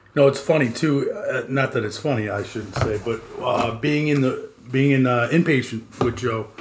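A man with a New York accent talks at a moderate pace with hardly any pauses. His medium-pitched voice has ordinary pitch variation over noticeable background noise. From New York City, moved to Long Island as a kid. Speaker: podcast host in addiction recovery. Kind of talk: casual chat.

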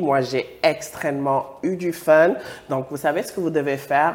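Speaking fairly slowly in an animated tone, a man is heard against noticeable background noise. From West Africa. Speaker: YouTube talk show host. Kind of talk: casual chat.

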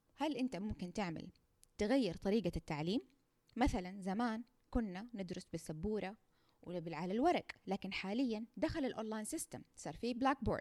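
Speaking at a moderate pace with a Saudi accent, a woman has a dark, mellow tone and very wide pitch swings, in a dry, close sound with no echo. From Saudi Arabia. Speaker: nursing researcher, podcast host. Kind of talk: educational monologue. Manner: conversational, informal.

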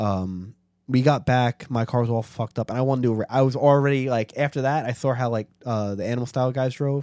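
In a very clean recording with a silent background, a man with a dark, mellow tone and medium pitch talks at a very fast pace with fairly even intonation. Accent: American. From New York City (Staten Island). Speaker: car enthusiast. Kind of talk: casual chat.

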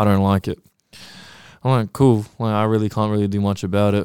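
A man delivers his words at a fairly quick pace in a very clean recording with a silent background. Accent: New Zealand. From New Zealand, South Auckland. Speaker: clothing brand founder. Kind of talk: casual chat. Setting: studio.

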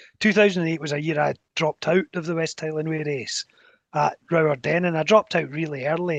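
In a Scottish accent, the speaker goes at a fairly quick pace with fairly even intonation, the sound dry and close with no echo against a quiet background. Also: man. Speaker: race director and athletics chairman. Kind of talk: casual interview chat.

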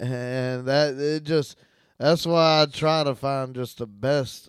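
On a very clean recording with a silent background, a man at medium pitch talks with fairly even intonation in an unremarkable speaking voice. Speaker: podcast co-host. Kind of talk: casual chat.

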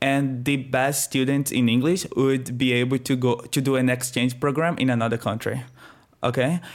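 Here a man with a Brazilian accent speaks at a moderate pace. His pitch is medium, and the recording is very clean with a silent background. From northeast Brazil. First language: Portuguese. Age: 20s.

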